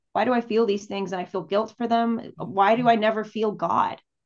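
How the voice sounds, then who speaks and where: A woman with an American accent speaks in a plain, everyday voice at a medium pitch. Her pitch variation is ordinary, and the background is quiet. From El Paso, Texas. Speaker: singer-songwriter. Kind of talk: casual interview conversation.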